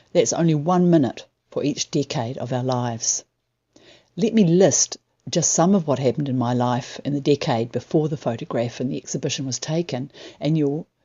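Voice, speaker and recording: The speaker uses a New Zealand accent with ordinary pitch variation and a moderate pace. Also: woman. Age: 60s. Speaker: writer. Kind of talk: personal story told on stage.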